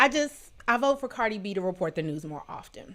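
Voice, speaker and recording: A woman with an American accent speaks in an animated tone at a moderate pace. The recording is very clean, with a silent background. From Washington DC area. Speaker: live show host. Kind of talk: casual livestream chat.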